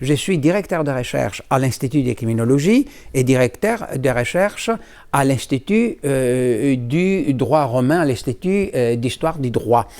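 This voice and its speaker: The recording is very clean with a silent background as a man speaks at a fairly slow pace and medium pitch with lively intonation. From Greece. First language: Greek (speaking French). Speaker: law professor. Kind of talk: interview. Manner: halting.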